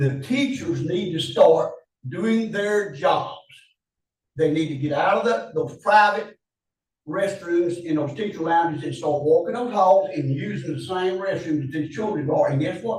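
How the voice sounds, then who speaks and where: High-pitched for a man, his voice moves at a fairly slow pace with ordinary pitch variation. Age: 70s. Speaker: public commenter at county meeting, retired teacher. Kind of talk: public comment. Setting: public meeting. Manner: impassioned.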